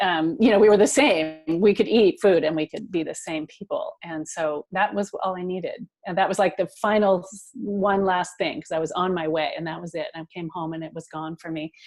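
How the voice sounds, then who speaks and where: An ordinary speaking voice at a fairly quick pace, with hardly any pauses, ordinary pitch variation and big swings in loudness. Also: woman, medium pitch for a woman. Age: 60s. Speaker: nonprofit founder. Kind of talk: interview. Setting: podcast.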